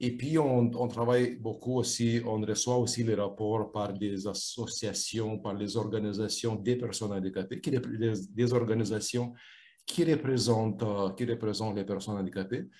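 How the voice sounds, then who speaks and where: A man speaks at a medium pitch with fairly even intonation against a quiet background. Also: moderate pace. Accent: non-native. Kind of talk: interview. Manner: halting, many repetitions and fillers.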